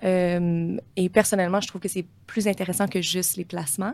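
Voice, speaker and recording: A woman at medium pitch speaks in a monotone, flat intonation on a very clean recording with a silent background. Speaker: portfolio manager. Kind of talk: interview.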